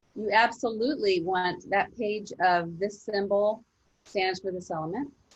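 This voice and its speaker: A woman with an ordinary speaking voice talks at a fairly slow pace and medium pitch, with ordinary pitch variation. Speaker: chemistry teacher. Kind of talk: online class lecture. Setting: video call.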